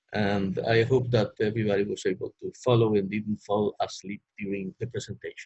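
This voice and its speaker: With a Spanish accent, a man speaks at a moderate pace and fairly low pitch, somewhat breathy, with fairly even intonation in a dry, close sound with no echo. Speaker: economist panelist. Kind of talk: webinar presentation. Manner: halting.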